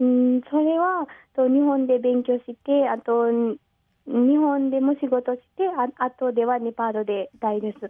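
The speaker has a Nepali accent, a fairly slow pace, and ordinary pitch variation. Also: woman, high pitch for a woman. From Nepal, Pokhara. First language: Nepali (speaking Japanese). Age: 20s. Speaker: guest. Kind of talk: radio interview. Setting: phone call. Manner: halting.

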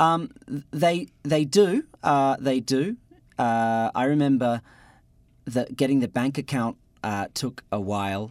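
A man with an Australian accent at medium pitch, very slow pace, long, frequent pauses and ordinary pitch variation, on a very clean recording with a silent background. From Australia, Adelaide. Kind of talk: radio interview. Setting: radio studio. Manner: hesitant, with fillers.

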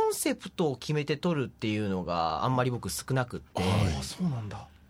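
Man at a medium pitch, moderate pace and very wide pitch swings. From Fukuoka, Tagawa. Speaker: photographer. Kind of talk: interview.

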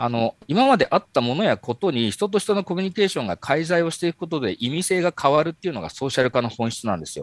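A high-pitched man talking at a very fast pace with very wide pitch swings, in a dry, close sound with no echo. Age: 40s. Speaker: marketing company executive. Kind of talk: interview. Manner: halting, many fillers.

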